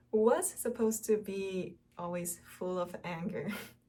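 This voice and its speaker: The speech comes at a very slow pace. It carries a Korean accent. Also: woman. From South Korea. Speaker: Korean language teacher and vlogger. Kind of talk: casual personal vlog. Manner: halting, many fillers.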